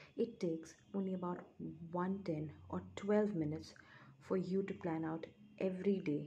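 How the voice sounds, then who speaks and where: Soft-spoken and somewhat breathy, the voice has a dark, mellow tone, fairly even intonation and a moderate pace. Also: woman. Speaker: ASMR creator. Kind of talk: ASMR book reading, soft-spoken summary read from a book chapter.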